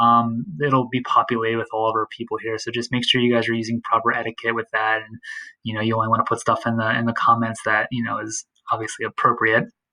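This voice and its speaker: Speaking at a very fast pace, a man comes across in a dry, close sound with no echo. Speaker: math teacher. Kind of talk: tutorial. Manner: casual, hesitant with many fillers.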